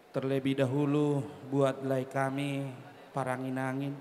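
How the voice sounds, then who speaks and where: A man's fairly high voice at a fairly slow pace. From Batak village, North Sumatra. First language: Batak (speaking Indonesian). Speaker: clan association chairman giving wedding speech. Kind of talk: ceremonial speech.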